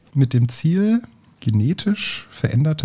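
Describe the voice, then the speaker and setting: A man speaks in a somewhat breathy, dark, mellow tone. His pitch swings very widely. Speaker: teacher and podcast host. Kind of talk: casual science chat.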